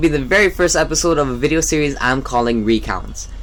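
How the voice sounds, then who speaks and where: Very fast speech over noticeable background noise. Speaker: video game and shopping vlogger. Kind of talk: casual vlog monologue over gameplay. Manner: stuttering, halting at times.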